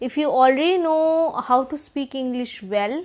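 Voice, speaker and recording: This is a woman speaking. She has an Indian accent. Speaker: English teacher. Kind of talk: tutorial.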